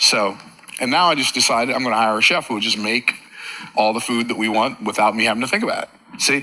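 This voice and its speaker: Over noticeable background noise, a man with a medium-pitched voice and ordinary pitch variation speaks very fast. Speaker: motivational speaker. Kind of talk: motivational talk.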